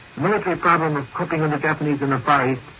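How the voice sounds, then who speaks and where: Noticeable background noise is present throughout. A man talks very fast, his pitch varying in an ordinary way. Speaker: Washington news correspondent. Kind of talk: 1940s radio news report. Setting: vintage 1942 broadcast recording.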